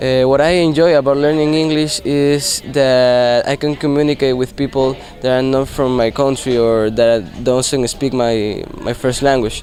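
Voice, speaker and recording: Over noticeable background noise, a man with a Spanish accent speaks in a flat monotone at a medium pitch and a moderate pace. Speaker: English language student. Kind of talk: class presentation. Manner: hesitant, many fillers.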